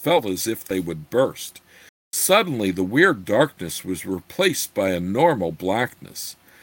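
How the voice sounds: Quiet surroundings behind a natural reading voice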